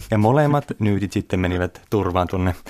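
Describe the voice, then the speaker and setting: Here is a man with a normal speaking voice. He talks fairly quickly at a fairly low pitch. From Finland, Kuopio (Savo). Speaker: physician and kung fu teacher. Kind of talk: interview.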